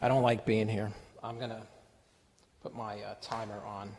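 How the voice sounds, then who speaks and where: With audible room echo, a man talks at a moderate pace. His voice is fairly low and his intonation monotone and flat. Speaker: resident speaking at public comment. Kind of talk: public comment. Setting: town council meeting at microphone. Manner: halting.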